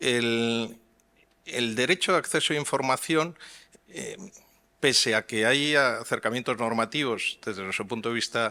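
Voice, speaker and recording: In a Madrid accent, a man speaks at a moderate pace in a medium pitch with a bright, sharp tone and ordinary pitch variation. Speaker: transparency advocate panelist. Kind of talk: conference panel talk. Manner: hesitant, many fillers.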